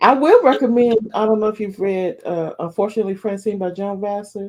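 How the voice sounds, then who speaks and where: Fairly quick delivery from a woman with a medium-pitched voice. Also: ordinary pitch variation. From US South. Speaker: romance author. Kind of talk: interview.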